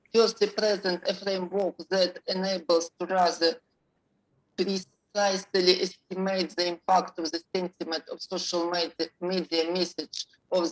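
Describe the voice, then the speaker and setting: In a Russian accent, a woman speaks at a fairly slow pace with a fairly low pitch and monotone, flat intonation, the sound dry and close with no echo. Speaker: professor presenting research. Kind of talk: conference Q&A. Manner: halting.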